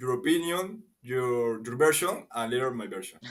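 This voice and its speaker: A man speaks with a Spanish accent. His pitch is medium and his intonation lively. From Peru. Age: 20s. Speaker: marketing professional. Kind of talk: casual chat. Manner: halting.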